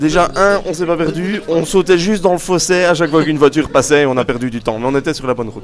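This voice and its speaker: Noticeable background noise behind a man's speech of ordinary pitch variation. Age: 20s. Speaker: non-geek roommate segment regular. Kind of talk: comic rant. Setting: live recording with audience.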